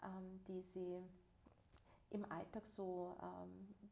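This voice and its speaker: The woman speaks with a dark, mellow tone. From Vienna, Austria. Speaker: life and social counsellor, podcast co-host. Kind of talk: casual conversation. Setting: shared practice office.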